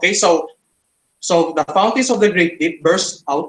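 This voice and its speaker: A man talks in a high register, his pitch shifting in a normal way. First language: not English. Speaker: creationist debater. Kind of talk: online debate. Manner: halting, many fillers.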